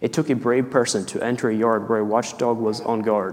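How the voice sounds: A natural reading voice delivers the lines, keeping the intonation fairly even.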